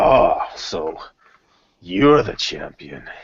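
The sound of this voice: A man performs a put-on character voice. His delivery is raspy.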